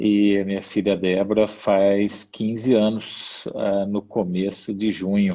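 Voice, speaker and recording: At a very slow pace and with hardly any pauses, a man speaks in a fairly low pitch with a dark, mellow tone and monotone, flat intonation. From Brazil, interior of São Paulo state. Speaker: missionary. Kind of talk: interview testimony. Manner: halting.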